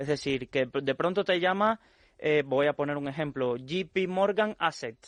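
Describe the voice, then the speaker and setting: In a quiet background, a man with a Cuban accent speaks at a fairly high pitch, the sound dry and close with no echo. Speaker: financial expert. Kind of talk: radio interview.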